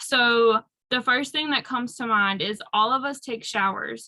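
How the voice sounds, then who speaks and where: At a fairly slow pace, a woman with a strong North Carolina accent speaks at a fairly high pitch. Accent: thick Southern US (North Carolina). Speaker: aromatherapy and self-care speaker. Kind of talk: workshop talk.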